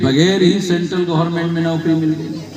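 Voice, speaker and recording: A man speaks at a fairly high pitch. Audible room echo and noticeable background noise surround his voice. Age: 60s. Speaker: political activist. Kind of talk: political rally speech. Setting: public rally. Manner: repetitive, emphatic oratory.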